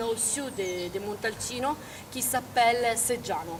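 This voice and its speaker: Over noticeable background noise, a woman with an Italian accent speaks at a very slow pace. Her pitch is fairly high, with ordinary pitch variation. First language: Italian (speaking French). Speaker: winery representative. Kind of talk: interview. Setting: outdoors at a vineyard. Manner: halting, many hesitations.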